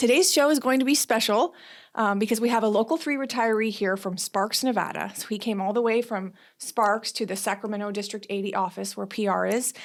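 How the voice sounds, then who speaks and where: This is an unremarkable speaking voice, its pitch varying in an ordinary way. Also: woman, fairly high pitch for a woman. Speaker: union podcast host. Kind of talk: podcast interview.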